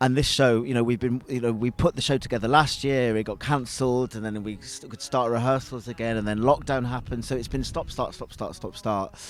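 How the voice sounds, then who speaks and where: His voice sits at a medium pitch as the man talks fairly quickly. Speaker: singer and musician. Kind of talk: promo interview. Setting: outdoors in gardens. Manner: enthusiastic, halting.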